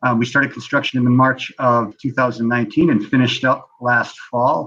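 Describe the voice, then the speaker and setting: Talking at a fairly quick pace with a slight Canadian accent, a man of medium pitch has fairly even intonation and a bright, sharp tone. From Canada. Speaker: preschool owner. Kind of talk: interview. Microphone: connection breaking up.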